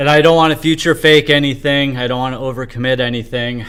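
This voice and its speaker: An unremarkable speaking voice from a man, medium in pitch with fairly even intonation. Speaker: livestreamer, homeless indie developer. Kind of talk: casual livestream monologue.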